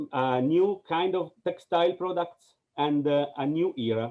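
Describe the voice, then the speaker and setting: Speaking at a very slow pace, a man with an Italian accent has a fairly high pitch. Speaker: film director. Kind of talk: Q&A answer. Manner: halting.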